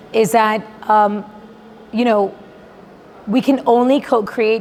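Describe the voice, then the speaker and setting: Noticeable background noise sits behind a woman speaking fairly slowly. Her pitch is fairly high and her intonation fairly even. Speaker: panel moderator. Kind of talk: panel discussion. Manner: loud.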